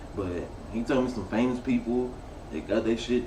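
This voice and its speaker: A man with an American accent at a medium pitch, with audible room echo and noticeable background noise. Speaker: interview guest. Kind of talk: casual chat.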